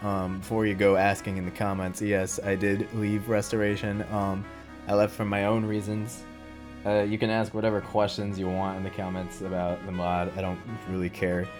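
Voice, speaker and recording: Music plays in the background as a man speaks. His pitch is fairly low and his intonation fairly even. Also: moderate pace. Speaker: mod developer. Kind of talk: casual talk to camera. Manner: flat, low-energy.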